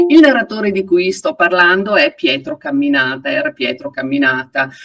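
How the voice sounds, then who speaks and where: Recorded with a dry sound and no echo, a woman speaks at a moderate pace. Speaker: event host introducing a guest. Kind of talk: event host introduction. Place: home room. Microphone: video call.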